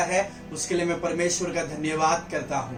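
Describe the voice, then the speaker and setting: Over music in the background, a man speaks at a high pitch in a monotone, flat intonation. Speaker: interpreter translating the sermon into Hindi. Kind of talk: consecutive interpretation in a church service.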